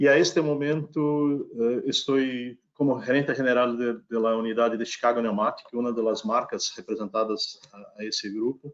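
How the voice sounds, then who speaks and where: A man's medium-pitched voice keeps fairly even intonation at a moderate speed. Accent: Brazilian. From Brazil. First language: Portuguese (speaking Spanish). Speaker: company executive, panel guest. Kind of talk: panel discussion.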